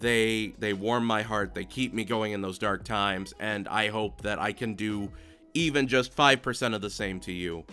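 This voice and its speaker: This man has a medium-pitched voice and a moderate pace. Music sits in the background, and his pitch varies in an ordinary way. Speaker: animation reviewer, channel host. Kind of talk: improvised video review outro. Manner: halting, filler-heavy.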